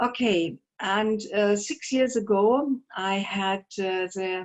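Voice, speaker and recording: Medium-pitched woman with a German accent and ordinary pitch variation. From Germany. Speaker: painter. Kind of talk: artist talk. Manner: halting.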